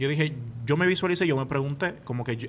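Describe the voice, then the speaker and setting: A man talks with a Dominican accent. His pace is fairly quick, with ordinary pitch variation. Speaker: podcast co-host, university student. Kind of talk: casual chat. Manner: animated.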